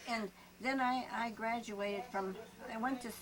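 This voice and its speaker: Speaking fairly slowly, a woman talks in an Upper Midwest accent with fairly even intonation. Noticeable noise sits in the background. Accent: Upper Midwest American. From US Midwest, Hayward, Wisconsin. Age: 90s. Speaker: retired schoolteacher. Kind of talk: oral history interview. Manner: halting.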